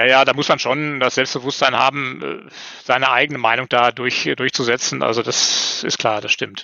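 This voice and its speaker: Vocal fry from a man at medium pitch, with a moderate pace, very even loudness and fairly even intonation. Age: 50s. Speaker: newspaper editor and small publisher. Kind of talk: casual interview chat. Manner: hesitant, many fillers and repetitions.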